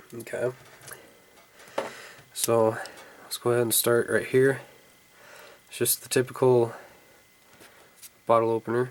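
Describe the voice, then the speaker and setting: The speech moves at a moderate pace, broken by long, frequent pauses. Noticeable background noise runs underneath. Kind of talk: casual product review to camera. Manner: casual, hesitant with fillers.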